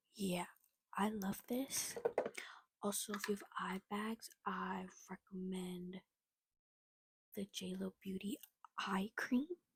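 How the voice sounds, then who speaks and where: A somewhat breathy woman with an American accent and a medium pitch speaks at a very slow pace with long, frequent pauses and fairly even intonation, in a dry, close sound with no echo. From US, Virginia. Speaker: beauty vlogger. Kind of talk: makeup tutorial. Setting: at home, late at night. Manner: soft-spoken.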